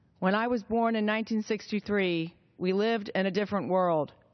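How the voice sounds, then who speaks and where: A woman's medium-pitched voice at a moderate pace, with ordinary pitch variation, an ordinary speaking voice. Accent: American. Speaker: politician. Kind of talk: political speech.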